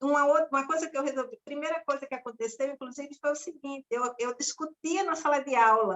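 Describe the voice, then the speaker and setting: A woman's high voice at a fairly quick pace. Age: young. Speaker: former teacher. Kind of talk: casual chat. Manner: loud.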